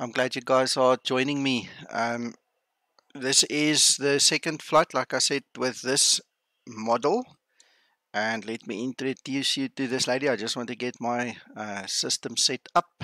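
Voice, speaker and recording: On a very clean recording with a silent background and a dry, close sound with no echo, a man at medium pitch talks at a fairly slow pace with a bright, sharp tone and fairly even intonation. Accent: Afrikaans. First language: Afrikaans. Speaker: flight sim streamer. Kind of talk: livestream commentary. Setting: home livestream. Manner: casual, hesitant.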